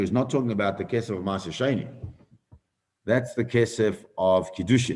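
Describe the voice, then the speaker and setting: Someone talks at a fairly quick pace, with audible room echo around the voice. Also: man. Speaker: rabbi teaching Talmud class. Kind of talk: Talmud lecture with questions. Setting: live stream. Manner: fast.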